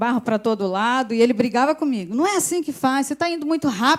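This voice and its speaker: Silence fills the background of this very clean recording. The speaker's tone is animated. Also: woman. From Brazil, Volta Redonda, interior of Rio de Janeiro state. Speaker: pastor's wife, guest preacher. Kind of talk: sermon. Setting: church service. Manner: animated, conversational.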